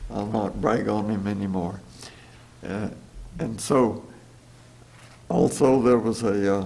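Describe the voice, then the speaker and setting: A man with an American accent talks at a fairly slow pace, his dark, mellow tone held in fairly even intonation, with long, frequent pauses and audible room echo. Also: fairly low pitch for a man. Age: 90s. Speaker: churchgoer giving testimony. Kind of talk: testimony. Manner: halting.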